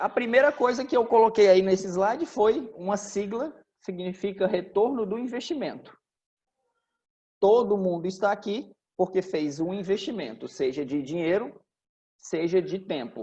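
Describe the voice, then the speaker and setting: A man talks with a dark, mellow tone and high pitch. His intonation is lively, and he leaves long, frequent pauses. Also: moderate pace. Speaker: franchise business executive. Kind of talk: informal business talk to franchisees.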